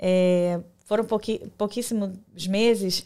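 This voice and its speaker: In a very clean recording with a silent background, a woman uses a plain, everyday voice at a fairly high pitch with fairly even intonation. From Brazil. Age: 40s. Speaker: diploma validation consultant, entrepreneur. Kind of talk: casual interview. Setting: live podcast studio.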